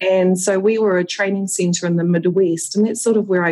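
Speaking at a moderate pace, a woman with a New Zealand accent uses a medium pitch. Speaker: aesthetic nurse and educator. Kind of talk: casual interview chat. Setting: video call.

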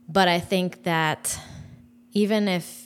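Ordinary pitch variation comes through in a very clean recording with a silent background. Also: woman. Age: 30s. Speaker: host's wife. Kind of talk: casual chat. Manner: soft-spoken; deliberate.

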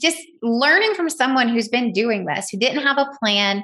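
A woman's animated, bright, sharp tone with ordinary pitch variation over a quiet background. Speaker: podcast host. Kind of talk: casual recap monologue.

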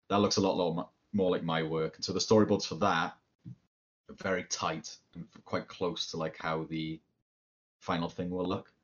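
A man with a Cardiff accent, very deep and low in pitch, at a moderate pace with fairly even intonation. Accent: Welsh (Cardiff). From Wales, Cardiff. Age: 30s. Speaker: cartoonist and game designer. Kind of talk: casual chat.

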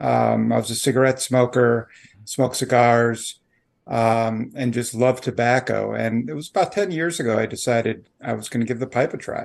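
In an American accent, a man with an unremarkable speaking voice talks at a moderate pace and medium pitch, with ordinary pitch variation. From Chicago area, Illinois. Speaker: lobbyist, pipe smoker. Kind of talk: interview.

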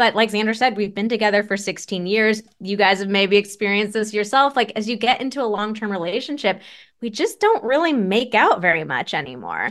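A woman with a normal speaking voice talks at a fairly high pitch and a fairly quick pace. Her pitch variation is ordinary, and the background is quiet. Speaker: sex therapist. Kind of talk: casual chat.

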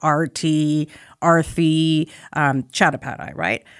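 A woman with a Canadian accent and a very deep, low pitch, in a dry, close sound with no echo on a very clean recording with a silent background. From Canadian prairies, Saskatoon. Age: 40s. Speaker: radio broadcaster and journalist. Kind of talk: interview conversation. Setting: studio.

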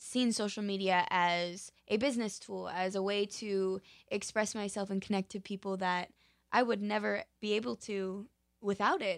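A woman with an American accent and an unremarkable speaking voice, medium pitch, ordinary pitch variation and a moderate pace, over a quiet background. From Utah. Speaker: professional dancer and actor. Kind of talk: interview.

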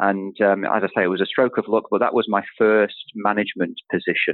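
A fairly quick pace with a slight northern English accent. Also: man. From Manchester, northern England. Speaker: chief executive of professional institute. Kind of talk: interview, conversational.

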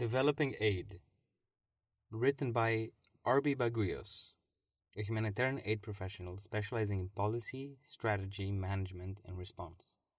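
On a very clean recording with a silent background, a man speaks at a moderate pace. His voice is fairly low and somewhat breathy, with ordinary pitch variation. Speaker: podcast host. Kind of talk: scripted narration, reading magazine pieces aloud.

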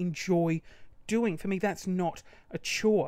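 A woman speaks in an animated tone. She has an Australian accent. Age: 30s. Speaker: podcast host and small business owner. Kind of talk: casual monologue rant. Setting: home studio with microphone. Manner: animated, laughing often.

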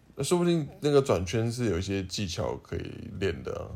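A man's medium-pitched voice, dark and mellow in tone, with very wide pitch swings and audible room echo. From Taiwan, Taipei. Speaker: podcast co-host. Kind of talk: casual chat.

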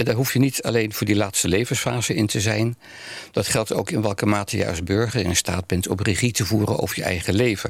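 Keeping a very even loudness, a man speaks at a fairly quick pace with a fairly low pitch. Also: ordinary pitch variation. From Netherlands, Amsterdam (born The Hague). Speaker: spiritual care coordinator, narrative theologian. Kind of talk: interview conversation. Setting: studio. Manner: halting, many fillers.

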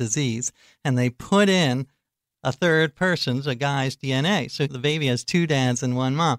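On a very clean recording with a silent background and a dry, close sound with no echo, a man with a fairly high pitch and ordinary pitch variation speaks in an animated tone at a moderate pace. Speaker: author and journalist. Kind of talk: casual interview, humorous. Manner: witty, animated.

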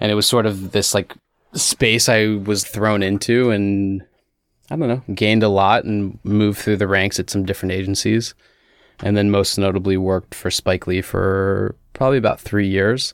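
A man with an American accent and a plain, everyday voice speaks at a fairly low pitch and a moderate pace, with fairly even intonation. His loudness is very even, and the recording is very clean with a silent background. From Washington DC suburbs, US. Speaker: CBD company founder. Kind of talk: casual interview.

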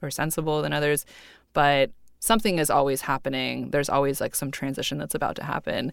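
Speaking in an American accent at a very fast pace, a woman with a very deep, low pitch and vocal fry sounds animated on a very clean recording with a silent background. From US West Coast, Bay Area (Cupertino). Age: 30s. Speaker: artist and author. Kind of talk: interview. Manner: animated, laughs often.

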